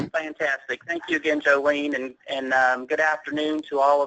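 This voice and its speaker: In an East Tennessee accent, a man talks at a moderate pace with a fairly high, bright, sharp voice and monotone, flat intonation, in a dry, close recording with no echo. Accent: Southern US (East Tennessee). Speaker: healthcare operations director and accountant. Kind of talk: presentation.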